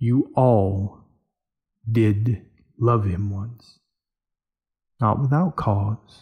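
A man's put-on character voice, fairly low in pitch, with a slightly husky edge, ordinary pitch variation and a very slow pace

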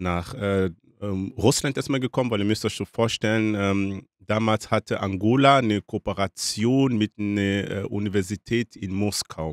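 A man with a fairly low pitch and fairly even intonation speaks at a fairly slow pace, recorded dry and close with no echo in a very clean, silent background. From DR Congo. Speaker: author. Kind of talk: casual interview. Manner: hesitant with many fillers.

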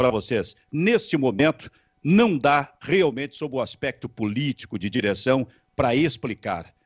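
A man speaks at a moderate pace with very wide pitch swings over a quiet background. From Rio Grande do Sul, Brazil. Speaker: sports talk show host. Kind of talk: sports talk show. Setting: online video stream. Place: home room. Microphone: handheld.

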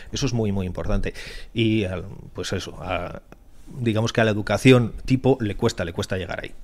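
A man's fairly low voice at a fairly quick pace, fairly even in intonation, broken by long, frequent pauses. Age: 50s. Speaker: cybersecurity entrepreneur. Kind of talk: podcast interview.

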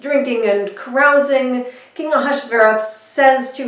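A woman's high-pitched voice at a fairly slow pace, fairly even in intonation, with audible room echo. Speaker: minister. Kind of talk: sermon storytelling. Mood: warm, lightly humorous. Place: home room.

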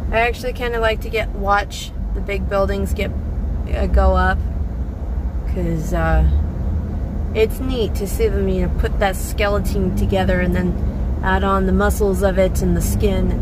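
At a moderate pace with long, frequent pauses, the speech has a dry sound with no echo and loud background noise. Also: woman. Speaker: driver vlogger. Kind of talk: casual vlog chat. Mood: relaxed, chatty. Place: car. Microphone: phone near.

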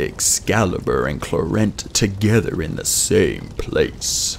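Over clear background noise, a soft-spoken man does a put-on character voice at a fairly slow pace. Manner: low, murmuring.

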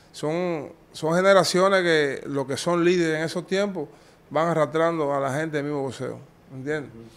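This man has a normal speaking voice at a fairly high pitch. He talks at a moderate pace with fairly even intonation. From Cuba. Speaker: former boxer; interviewee. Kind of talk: interview. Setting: in person. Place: office. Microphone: handheld.

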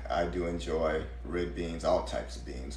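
Against light background noise and audible room echo, a man with a very deep, low pitch talks at a moderate pace. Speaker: home cook host. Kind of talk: casual livestream chat. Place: kitchen. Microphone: phone near.

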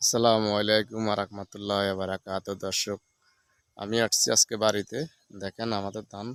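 Recorded dry and close with no echo, a man with a fairly low pitch speaks in a monotone, flat intonation. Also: very clean recording, silent background. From Bangladesh, Feni district. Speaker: village vlogger. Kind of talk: casual vlog narration.

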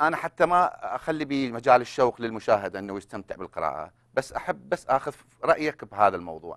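A man with an Iraqi accent and a medium pitch, vocal fry, very wide pitch swings and a moderate pace, against a quiet background. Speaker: co-host. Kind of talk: scripted introduction and interview. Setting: studio. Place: studio. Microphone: lapel.

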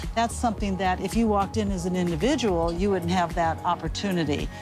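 Clear music plays behind a woman who talks at a fairly quick pace, her voice dry with no echo. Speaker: RV tour guide. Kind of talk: interview answer. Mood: friendly, explanatory. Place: open country. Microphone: lapel.

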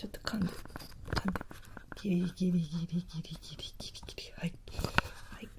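A soft-spoken woman at a fairly slow pace over loud background noise. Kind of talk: role-play dentist talk, ASMR-like. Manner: soft, hushed ASMR dentist voice. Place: home room. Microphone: phone near.

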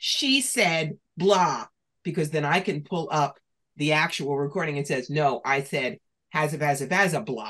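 In a New York accent, a woman with a very deep, low pitch speaks fairly slowly in an animated tone. Her intonation is lively against a quiet background. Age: 60s. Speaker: professional psychic and author; podcast guest. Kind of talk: interview. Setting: video call. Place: home room. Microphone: video call.

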